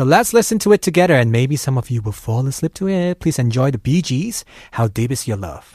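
Somewhat breathy and fairly quick, the voice swings very widely in pitch, with a dry, close sound and no echo. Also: man, medium pitch for a man. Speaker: radio host. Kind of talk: casual chat. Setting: studio. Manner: animated.

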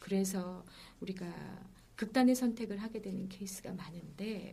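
A woman speaks at a fairly slow pace, with noticeable background noise around her. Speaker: healing coach and former broadcaster. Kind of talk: casual interview chat.

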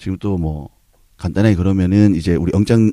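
The recording is very clean, with a silent background. A man with a very deep, low voice speaks at a fairly quick pace. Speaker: podcast host. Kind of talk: casual chat.

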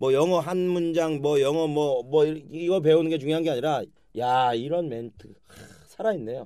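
At a fairly high pitch, a man speaks with a dark, mellow tone. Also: ordinary pitch variation, moderate pace. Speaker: comedian and podcast host. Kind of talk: casual chat. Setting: studio.

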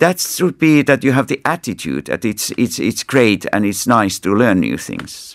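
A man talks at a moderate pace with hardly any pauses. His voice sits at a medium pitch and swings very widely up and down. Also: dry, close sound with no echo. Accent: Finnish. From Finland. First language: Finnish. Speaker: ambassador. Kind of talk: interview. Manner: halting.

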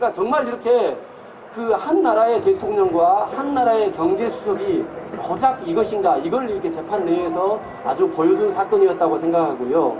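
A man speaks at an extremely high pitch with very wide pitch swings. Noticeable background noise and audible room echo fill the recording. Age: middle-aged. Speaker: lawyer. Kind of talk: public talk (street busking event).

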